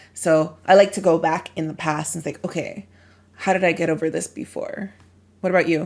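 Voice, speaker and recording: A woman's normal speaking voice, fairly low in pitch, with fairly even intonation and an American accent. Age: young. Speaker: podcast co-host. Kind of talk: casual conversation.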